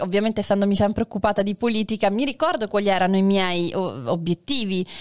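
Here is a woman with a plain, everyday voice. Her pitch is medium and varies in an ordinary way. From Sicily, Taormina. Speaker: actress and satirical web performer. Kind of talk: casual chat. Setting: live stream.

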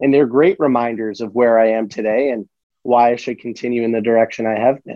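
A man with an unremarkable speaking voice moves fairly quickly, keeping a medium pitch and fairly even intonation. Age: 20s. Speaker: entrepreneur and book podcaster. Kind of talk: casual interview.

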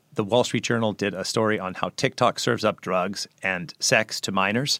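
Recorded very cleanly against a silent background, a man speaks at a moderate pace. His pitch varies in an ordinary way, and the sound is dry and close, with no echo. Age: 50s. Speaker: research fellow and author. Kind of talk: interview. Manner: halting, many repeated words.

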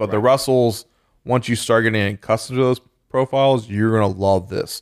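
A man with a normal speaking voice talks at a fairly quick pace with fairly even intonation, captured dry and close with no echo on a very clean recording with a silent background. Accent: American. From Texas, then Baton Rouge, Louisiana from 16. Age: 30s. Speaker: bourbon society founder. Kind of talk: casual chat.

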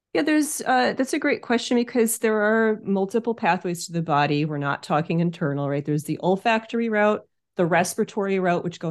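An ordinary speaking voice from a woman with an American accent, at a fairly quick pace with hardly any pauses, against a quiet background. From US Northeast, Hudson Valley of New York. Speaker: aromatherapist. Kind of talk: interview.

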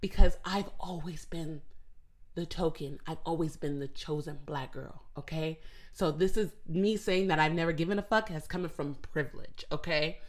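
A woman's fairly low-pitched voice at a moderate pace, with ordinary pitch variation. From US Southwest, Phoenix, Arizona. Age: 20s. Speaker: podcast host. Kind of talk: casual solo monologue.

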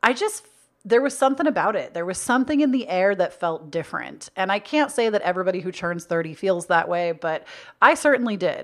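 Animated in tone, a woman at a medium pitch speaks at a fairly quick pace with very wide pitch swings. The recording is very clean, with a silent background. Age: 30s. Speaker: podcast host. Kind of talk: casual chat. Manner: loud when passionate.

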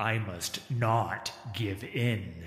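A man's growling, put-on character voice. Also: medium pitch for a man. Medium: read story. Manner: terse, inward.

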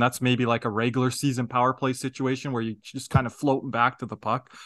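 A man speaks at a medium pitch in a flat monotone. His tone is bright and sharp, with a dry, close sound and no echo. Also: quiet background. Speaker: podcast co-host.

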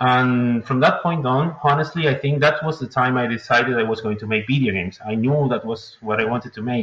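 With a Spanish accent, a man speaks fairly quickly at a medium pitch, his pitch varying in an ordinary way and his speech having hardly any pauses, against noticeable background noise. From Uruguay. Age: 20s. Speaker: indie game developer. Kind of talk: interview. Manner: hesitant, many fillers.

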